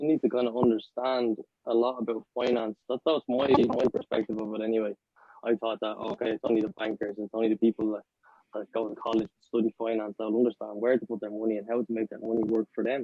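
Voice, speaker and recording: In an Irish accent, a man speaks very fast at medium pitch with monotone, flat intonation and big swings in loudness. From Ireland. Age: 20s. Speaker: podcast co-host. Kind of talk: casual chat.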